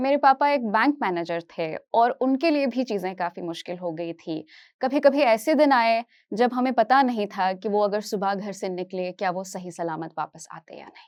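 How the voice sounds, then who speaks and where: A woman with a plain, everyday voice, fairly high in pitch, with lively intonation and hardly any pauses, on a very clean recording with a silent background and a dry, close sound with no echo. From Kashmir, raised partly in Hyderabad from age 8. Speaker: psychology teacher. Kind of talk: motivational talk.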